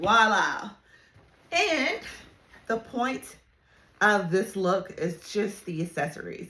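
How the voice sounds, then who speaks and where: The woman's tone is bright and sharp. She speaks at a very slow pace. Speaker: fashion content creator. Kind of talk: casual vlog talk. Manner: halting, repeats words.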